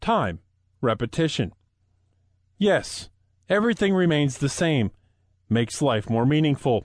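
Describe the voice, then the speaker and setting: A man with a fairly high voice speaks fairly slowly, leaving long, frequent pauses. His pitch swings very widely while his loudness stays very even, against a quiet background. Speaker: audiobook narrator. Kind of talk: devotional poetry read aloud, audiobook narration of psalm-like verse. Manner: slow, reverent, meditative cadence with pauses; soft, soothing, warm prayerful delivery.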